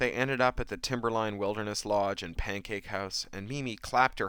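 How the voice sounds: The pitch varies in an ordinary way as a natural reading voice carries the text.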